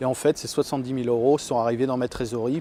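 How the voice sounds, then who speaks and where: The voice belongs to a man. Its tone is dark and mellow. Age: 30s. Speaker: dairy farmer. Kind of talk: interview. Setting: on a farm. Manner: hesitant, many fillers.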